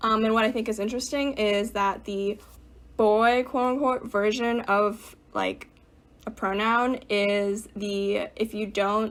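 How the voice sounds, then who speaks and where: A woman's fairly high-pitched, monotone, flat voice at a fairly slow pace, on a very clean recording with a silent background. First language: Mandarin. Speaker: theatre student. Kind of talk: casual podcast discussion.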